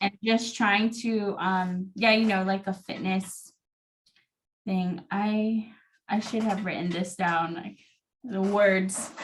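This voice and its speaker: A woman with a medium pitch speaks very slowly in a somewhat breathy, monotone voice with flat intonation. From American Samoa. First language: Samoan. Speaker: podcast guest. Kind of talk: casual interview chat.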